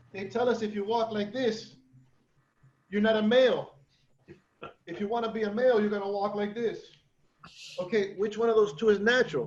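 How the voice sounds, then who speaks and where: Long, frequent pauses from a man speaking at a fairly quick pace in a high pitch, fairly even intonation, and audible room echo. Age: 50s. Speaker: martial arts teacher. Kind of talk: seminar discussion. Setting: video call.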